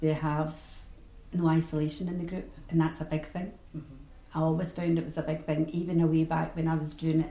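With a Glaswegian accent, a woman talks at a fairly quick pace in a very deep, low pitch and a monotone, flat intonation. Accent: Glaswegian Scottish. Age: 60s. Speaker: retired sewing and knitting teacher. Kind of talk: interview.

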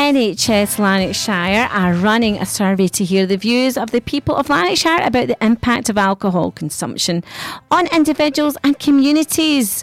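With music in the background, a woman speaks at a moderate pace, her fairly high pitch swinging very widely while her loudness stays very even. The sound is dry and close, with no echo. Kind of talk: radio DJ patter between songs, with station IDs, travel and weather slots. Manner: bubbly, chatty and upbeat, with cheery catchphrases, laughing and quipping.

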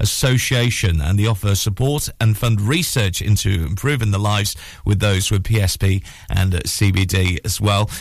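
A man talks at a moderate pace in an animated, warm tone that is somewhat breathy. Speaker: radio breakfast show host. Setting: radio studio, live broadcast. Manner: animated, chatty, warm, with frequent 'uh' fillers.

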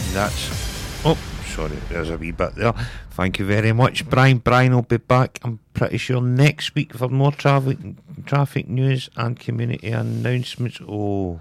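This man has a plain, everyday voice at medium pitch with ordinary pitch variation and a moderate pace. The sound is dry and close, with no echo. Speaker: radio host. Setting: studio. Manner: upbeat, breezy and playful, rattling off show times and track names with easy humour.

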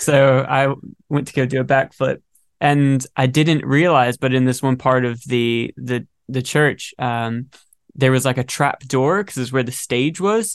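An ordinary speaking voice with an American accent moves at a fairly slow pace with fairly even intonation. The background is quiet. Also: man, medium pitch for a man. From North Carolina, US South. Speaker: singer and guitarist. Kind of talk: casual chat.

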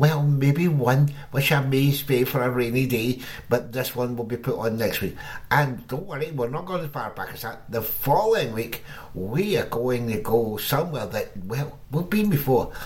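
A man talks in an ordinary speaking voice at medium pitch. His pace is moderate and his intonation lively. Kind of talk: radio DJ patter. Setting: radio studio broadcast. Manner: cheery, jokey showman banter.

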